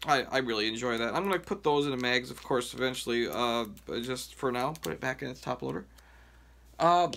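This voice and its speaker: A man talking at a fairly quick pace over light background noise. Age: 30s. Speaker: mail carrier and sports card collector YouTuber. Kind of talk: casual vlog, showing sports cards. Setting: home video recording. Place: home room. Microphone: phone near.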